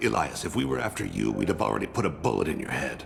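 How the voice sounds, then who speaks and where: A put-on character voice from a man, very deep and low, delivered at a very fast pace against clear background noise. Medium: machinima. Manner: calm, measured, quiet.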